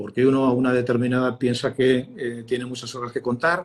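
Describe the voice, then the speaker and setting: A man speaks at a fairly quick pace. His pitch is medium and his intonation fairly even. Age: 60s. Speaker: communication expert, former broadcast journalist. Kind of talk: interview. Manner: hesitant, many fillers and repetitions.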